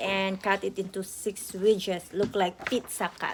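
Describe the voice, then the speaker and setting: In a Filipino accent, a woman speaks at a fairly slow pace. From Philippines. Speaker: home cook vlogger. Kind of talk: cooking tutorial. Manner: halting.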